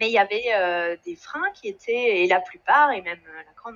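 Her intonation is lively. This woman speaks at a very slow pace. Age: 40s. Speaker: engineer in career change. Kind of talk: testimony. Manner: halting, many repetitions and fillers.

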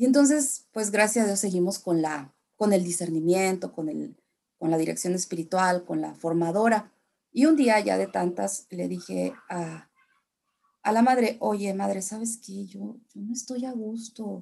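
A woman's dark, mellow voice at medium pitch, fairly slow in pace with ordinary pitch variation. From Mexico, San Luis Potosí (raised from age two; born in Tamaulipas). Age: 40s. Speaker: religion and English teacher. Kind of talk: interview testimony.

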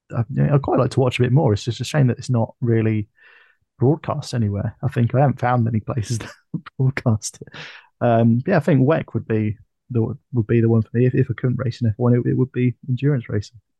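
With a British accent, a man speaks fairly quickly in a somewhat breathy, medium-pitched voice, his intonation fairly even. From UK. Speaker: F1 podcast co-host. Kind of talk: casual chat. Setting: video call.

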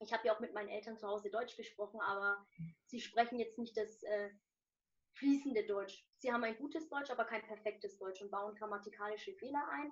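At a fairly quick pace, a woman speaks in a normal speaking voice. Her pitch is fairly high, with ordinary variation. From Germany, Nuremberg. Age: 20s. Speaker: student and social media motivational creator. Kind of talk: interview.

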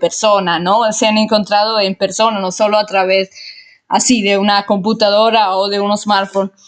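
A woman speaks with an Italian accent and fairly even intonation. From Italy. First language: Italian (speaking Spanish). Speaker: amateur podcast host. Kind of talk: casual monologue. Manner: hesitant with repetitions.

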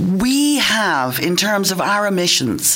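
In an Irish accent, a woman speaks very slowly with lively intonation over noticeable background noise. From Ireland. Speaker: environmental worker, radio panelist. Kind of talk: radio panel discussion. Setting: radio studio.

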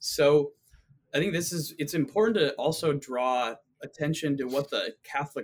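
Moderate-paced speech with ordinary pitch variation over background music. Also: man. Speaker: philosophy graduate student. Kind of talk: casual discussion.

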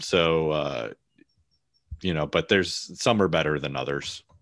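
A man with a very deep, low voice talks at a moderate pace. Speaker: former Border Patrol agent and podcaster. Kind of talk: interview conversation. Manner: hesitant with many fillers; laughs often.

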